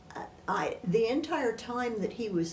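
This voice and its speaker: Speaking at a fairly slow pace with lively intonation, a woman with an American accent is heard over noticeable background noise and audible room echo. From northern Missouri, US Midwest. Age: 80s+. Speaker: retired teacher, oral history interviewee. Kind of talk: oral history interview. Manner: halting.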